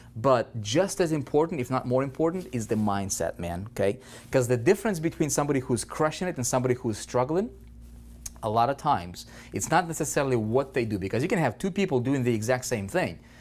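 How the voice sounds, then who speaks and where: A man's medium-pitched voice with a non-native accent, very fast with lively intonation, on a very clean recording with a silent background. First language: not English. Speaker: online marketing coach. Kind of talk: training lecture. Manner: animated; repetitive filler okay.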